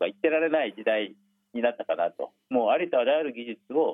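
The pace is fairly quick. It is a man speaking. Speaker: nuclear policy professor. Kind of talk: interview.

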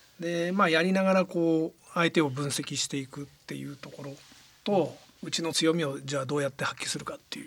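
Spoken in a plain, everyday voice, the words come at a fairly quick pace with fairly even intonation and big swings in loudness. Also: man, fairly high pitch for a man. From Yokohama, Kanagawa, Japan. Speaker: football club president. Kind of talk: radio interview.

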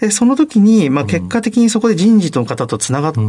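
This man's pitch swings very widely. He rises and falls across a huge range. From Saitama, Japan. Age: 30s. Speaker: company CEO. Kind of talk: interview.

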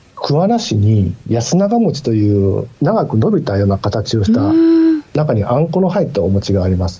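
Over noticeable background noise, a man speaks at medium pitch and a moderate pace. His pitch swings very widely while his loudness stays very even. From Mie, Japan. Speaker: newspaper bureau chief, journalist. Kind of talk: radio interview. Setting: remote call via Teams.

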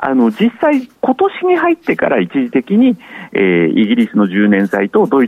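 A man's voice against noticeable background noise. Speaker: market analyst. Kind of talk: market commentary on radio. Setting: phone call. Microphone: phone line.

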